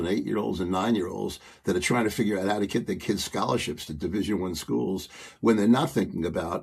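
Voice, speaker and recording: Fairly quick speech from a man, fairly low in pitch, with ordinary pitch variation and some vocal fry. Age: 70s. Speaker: guest, father and youth coach. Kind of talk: casual chat. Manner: halting, many fillers and restarts.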